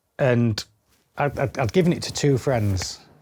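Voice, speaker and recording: Here a man speaks with a Yorkshire accent. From Yorkshire, England (Bridlington). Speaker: spinal cord injury survivor and adventurer. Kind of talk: casual interview chat.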